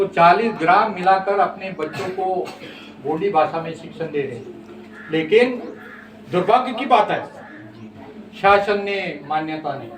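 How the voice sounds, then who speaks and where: With a Central Indian accent, a man speaks in a high pitch with ordinary pitch variation. There is audible room echo and noticeable background noise. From Maharashtra, India. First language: Gondi (speaking Hindi). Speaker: Gond community activist. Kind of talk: interview / speech on language rights. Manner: impassioned.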